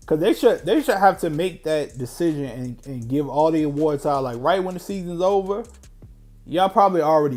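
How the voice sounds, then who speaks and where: A man's fairly high voice at a fairly quick pace, with lively intonation and music in the background. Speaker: sports streamer, live game reaction. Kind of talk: live reaction commentary.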